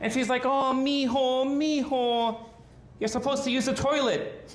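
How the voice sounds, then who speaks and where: In an American accent, a man speaks fairly slowly at an extremely high pitch with fairly even intonation, and audible room echo around him. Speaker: stand-up comedian. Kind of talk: stand-up. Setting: stage with audience.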